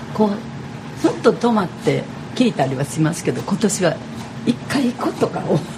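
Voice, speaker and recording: Speaking with a Kyoto accent, a woman at medium pitch moves through very wide pitch swings at a moderate pace, with noticeable background noise. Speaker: radio host. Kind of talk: live radio talk. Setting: radio studio at a cafe.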